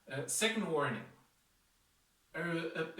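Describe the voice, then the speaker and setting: The voice shows ordinary pitch variation. There is audible room echo and music in the background. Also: man. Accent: non-native. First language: not English. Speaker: martial arts instructor. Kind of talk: tutorial. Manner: hesitant, many fillers.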